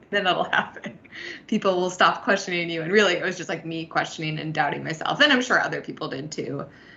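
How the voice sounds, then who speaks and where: A woman talks at a very fast pace with ordinary pitch variation. Noticeable background noise can be heard. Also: fairly low pitch for a woman. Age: 20s. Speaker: podcast co-host. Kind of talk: podcast interview.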